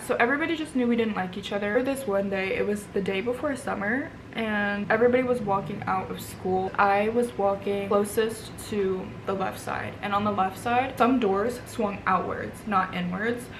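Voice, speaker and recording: In an American accent, a woman speaks at a moderate pace with hardly any pauses, medium pitch and ordinary pitch variation. Room echo is audible, and background noise is noticeable. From Vermont, US. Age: 20s. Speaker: beauty vlogger. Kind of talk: casual chat. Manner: casual with many fillers.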